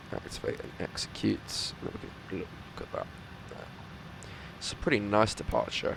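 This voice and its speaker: Over noticeable background noise, a man talks at a moderate pace with long, frequent pauses. His loudness swings widely. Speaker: flight sim streamer. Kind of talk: gameplay commentary. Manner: hesitant, many fillers.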